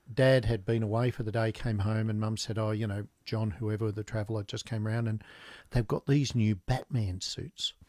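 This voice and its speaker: In a very clean recording with a silent background and a dry, close sound with no echo, a man with an Australian accent speaks at a fairly low pitch with fairly even intonation. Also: moderate pace. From Australia, Newcastle. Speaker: business founder. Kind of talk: interview. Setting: studio.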